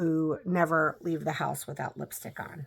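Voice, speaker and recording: A plain, everyday voice from a woman with an American accent, fairly low in pitch, at a moderate pace, on a very clean recording with a silent background. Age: 40s. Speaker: lifestyle vlogger. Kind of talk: casual vlog monologue. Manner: conversational, with fillers.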